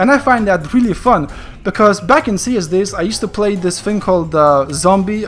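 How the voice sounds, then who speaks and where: The speaker moves at a fairly quick pace. Music plays in the background. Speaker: gaming youtuber. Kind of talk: casual explainer monologue. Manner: stuttering, hesitant.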